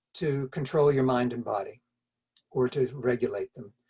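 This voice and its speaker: Recorded dry and close with no echo, a man speaks in a somewhat breathy voice. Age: 70s. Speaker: wellness pioneer, doctor. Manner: halting, with repetitions.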